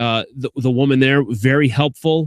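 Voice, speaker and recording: With a slight Chicago accent, a man speaks at a fairly high pitch with fairly even intonation, recorded in a dry, close sound with no echo. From Chicago, US Midwest. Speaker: sports radio host. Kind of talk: casual vlog monologue. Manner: casual, many fillers and restarts.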